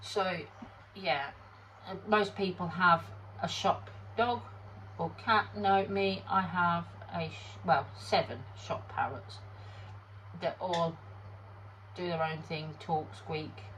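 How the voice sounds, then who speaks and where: In a British accent, the speaker goes at a very slow pace with long, frequent pauses. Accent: British, noticeable. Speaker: resin crafter. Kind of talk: tutorial. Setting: home workshop. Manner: casual, hesitant.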